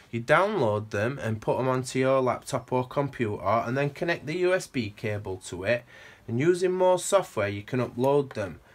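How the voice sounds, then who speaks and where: Speaking with a Sheffield accent, a man uses a medium pitch and lively intonation. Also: moderate pace. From northern England, Sheffield. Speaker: guitar gear demonstrator. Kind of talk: tutorial. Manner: casual, with hesitations.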